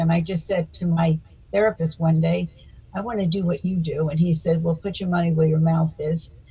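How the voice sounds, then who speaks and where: A woman's fairly low, somewhat breathy voice with fairly even intonation and an American accent. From US South (Florida, Miami Beach). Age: 80s+. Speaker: psychotherapist and speaker. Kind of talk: interview.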